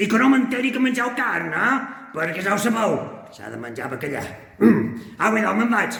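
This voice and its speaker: A man's cartoonish character voice, high in pitch, with long, frequent pauses and a strong echo. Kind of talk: children's puppet greeting. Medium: puppet. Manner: scolding, playful.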